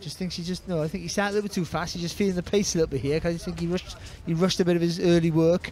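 Speech comes at a very fast pace with fairly even intonation. Noticeable background noise is present. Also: man, high pitch for a man. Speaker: color commentator. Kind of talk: live boxing commentary, analytical. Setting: outdoors at venue. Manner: measured, analytical, conversational.

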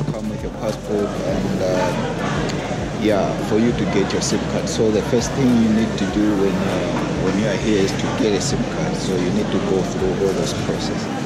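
Over music in the background, a man talks at a moderate pace with ordinary pitch variation. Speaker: travel vlogger. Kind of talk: casual vlog chat. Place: market. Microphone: phone near.

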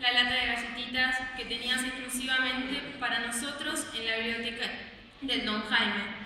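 A woman speaks at a fairly high pitch and a moderate pace, with little pitch movement. Her tone is bright and sharp amid strong room echo.

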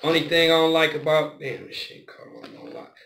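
Light background noise behind a man at a moderate pace. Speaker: vlogger. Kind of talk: casual vlog chat. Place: home room. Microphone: phone near.

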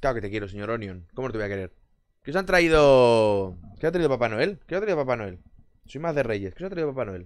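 Over a quiet background, a man talks at a very fast pace in an animated tone, his pitch swinging very widely. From Barcelona, Spain; Spain. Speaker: gaming streamer. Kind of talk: casual chat with live stream viewers. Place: home room. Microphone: headset.

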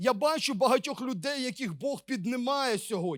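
Extremely high-pitched for a man, this male voice has lively intonation. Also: very clean recording, silent background. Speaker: preacher. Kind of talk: sermon.

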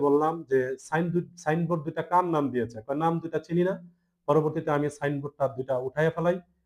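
His pitch sits fairly high for a man. The intonation is fairly even. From Bangladesh, Cumilla (Daudkandi/Meghna). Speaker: deed writer. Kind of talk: press conference statement. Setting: press conference. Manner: halting, with frequent pauses.

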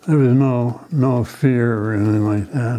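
A man talks at a very slow pace. His intonation is fairly even. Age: 90s. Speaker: war veteran. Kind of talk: oral history interview. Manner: halting. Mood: reflective, somber memories. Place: office. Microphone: lapel.

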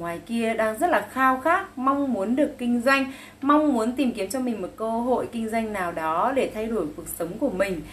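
Her pitch fairly high, a woman talks at a moderate pace with hardly any pauses and lively intonation. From northern Vietnam, Bac Giang; northern Vietnam. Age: 30s. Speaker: cosmetics sales distributor; sales agent promoting a business. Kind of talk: sales pitch. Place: home room. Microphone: phone near.

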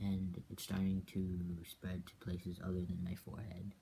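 A man's very deep, low voice, dark and mellow and somewhat breathy, monotone and flat, at a moderate pace over light background noise. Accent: American. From US, Korean American. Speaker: video blogger. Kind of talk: video diary update. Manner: casual, slightly hesitant. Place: home room. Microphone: webcam.

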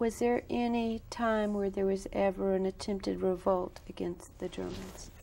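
A woman speaks at a moderate pace, barely pausing, over light background noise. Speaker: interviewer. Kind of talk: interview. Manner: formal. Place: studio.

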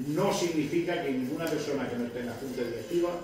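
A man talks in a fairly high pitch. The room echo is strong and background noise is noticeable. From Spain, Lorca (Murcia). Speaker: newly elected brotherhood president. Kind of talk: acceptance speech. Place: hall. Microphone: camera far.

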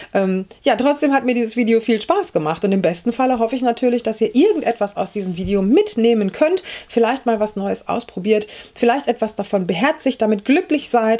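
With an ordinary speaking voice, a woman talks at a fairly quick pace with lively intonation. Her pitch is fairly high, and the background is quiet. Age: 40s. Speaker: beauty YouTuber. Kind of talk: makeup tutorial. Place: home room.

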